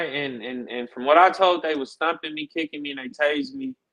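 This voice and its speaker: Speaking at a fairly quick pace with an American accent, the voice has a bright, sharp tone and lively intonation, recorded with a dry, close sound and no echo. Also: man. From Los Angeles, California. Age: 30s. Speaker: interview guest. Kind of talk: casual interview.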